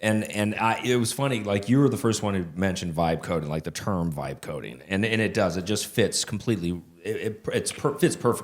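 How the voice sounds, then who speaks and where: This man speaks at a fairly quick pace with hardly any pauses and lively intonation. His pitch is fairly low, and the recording is very clean with a silent background. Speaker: podcast co-host, developer. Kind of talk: casual chat. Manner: loud.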